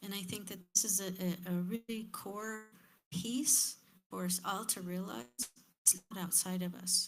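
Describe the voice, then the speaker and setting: A woman speaks at a fairly slow pace in a medium-pitched, somewhat breathy voice with ordinary pitch variation. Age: 50s. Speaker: panelist at community forum. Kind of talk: panel discussion.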